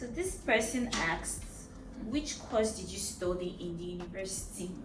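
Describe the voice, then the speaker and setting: A woman with a Nigerian accent speaks at a moderate pace and medium pitch, with ordinary pitch variation and big swings in loudness, amid audible room echo and noticeable background noise. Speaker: vlogger. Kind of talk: casual Q&A chat.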